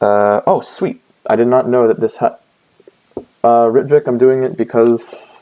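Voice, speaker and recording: Long, frequent pauses break up this man's speech. His pitch is medium, with ordinary variation. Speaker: student tutor streaming exam review. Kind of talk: live stream tutorial. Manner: fast.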